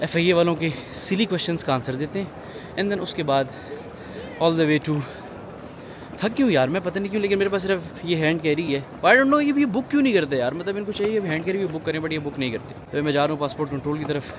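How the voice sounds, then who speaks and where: A high-pitched man with lively intonation and long, frequent pauses over noticeable background noise. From Pakistan. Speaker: travel vlogger. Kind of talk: casual vlog narration. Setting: airport and airplane.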